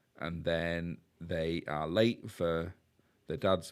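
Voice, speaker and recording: The man's voice has a very deep, low pitch. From Yorkshire, northern England. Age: 50s. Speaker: podcast host. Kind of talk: casual film discussion.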